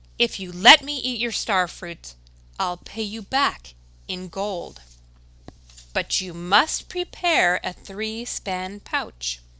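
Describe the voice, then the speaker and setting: In a put-on character voice, a female-sounding speaker uses a medium pitch at a very slow pace against a quiet background. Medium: read story.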